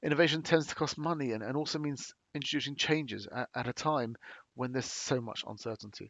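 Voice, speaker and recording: A man with a British accent speaks at a very fast pace. His pitch is fairly high, with ordinary pitch variation. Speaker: company presenter. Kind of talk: webinar presentation. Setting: online webinar. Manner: halting, many fillers.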